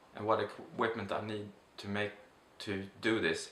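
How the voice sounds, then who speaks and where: A man with a Swedish accent speaks over noticeable background noise, his voice carrying audible room echo. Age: 30s. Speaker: vlogger. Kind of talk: casual vlog monologue. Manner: halting, many fillers.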